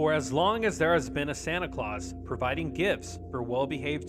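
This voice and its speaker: Moderately paced speech, music playing behind it. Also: man. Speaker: podcast host. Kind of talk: folklore narration.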